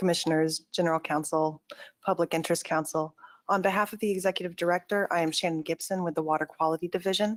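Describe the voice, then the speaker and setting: Monotone and flat, a woman talks at a very fast pace with a fairly low pitch. Her voice sounds dry and close with no echo. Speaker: government agency staff. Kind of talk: formal presentation. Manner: soft-spoken; formal.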